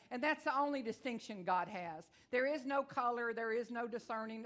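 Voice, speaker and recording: A woman is speaking here. Her pitch is fairly high, and she talks in a Texan accent. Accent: Texan twang. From Texas. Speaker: visiting evangelist preacher. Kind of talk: sermon. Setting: church with congregation. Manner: fast talker.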